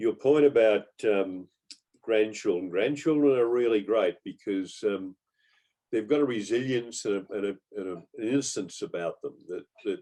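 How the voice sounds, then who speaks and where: Speaking with an Australian accent, a man uses a dark, mellow tone at medium pitch, keeping a moderate pace and ordinary pitch variation. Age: 70s. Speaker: Rotary club member. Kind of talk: casual group discussion.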